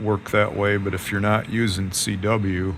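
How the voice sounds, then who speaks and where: A man's fairly low, monotone, flat delivery at a fairly slow pace, with audible room echo. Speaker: amateur radio operator. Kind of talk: tutorial. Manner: casual.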